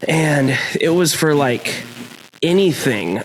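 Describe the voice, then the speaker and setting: A man is talking while noticeable background noise fills the recording. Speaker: podcast host, voice actor and metalcore singer. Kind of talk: casual chat.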